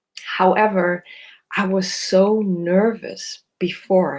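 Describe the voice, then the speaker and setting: A woman with a non-native accent speaks at medium pitch with fairly even intonation. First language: not English. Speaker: somatic psychotherapist. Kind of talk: live video talk. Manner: halting, many fillers.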